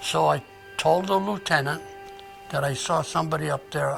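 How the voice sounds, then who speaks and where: A man at a medium pitch and moderate pace, with very wide pitch swings and music in the background. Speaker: war veteran. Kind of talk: interview answer.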